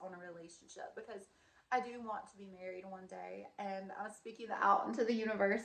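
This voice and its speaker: Noticeable background noise accompanies a woman speaking at a fairly quick pace with a medium pitch. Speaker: vlogger. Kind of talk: casual vlog monologue. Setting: in her student housing room. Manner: chatty, many fillers. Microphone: wonky mic, may be quiet.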